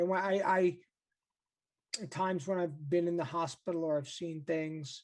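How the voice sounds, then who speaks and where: A man with an American accent, high in pitch, at a moderate pace, with fairly even intonation and long, frequent pauses. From New York. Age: 50s. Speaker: meditation teacher with multiple sclerosis. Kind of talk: interview. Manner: halting.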